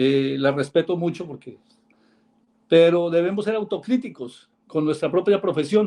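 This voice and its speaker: Dark and mellow in tone, a man's high voice moves with ordinary pitch variation. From Colombia. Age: 60s. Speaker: caller, lawyer. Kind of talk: call-in comment on live show. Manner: halting, many fillers.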